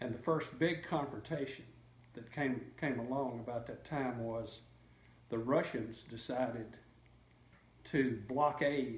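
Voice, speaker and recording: A somewhat breathy voice speaks at a fairly slow pace. The intonation stays fairly even, and room echo is audible. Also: man. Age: 70s. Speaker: interviewee recalling history. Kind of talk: interview. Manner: halting, many fillers and repeats.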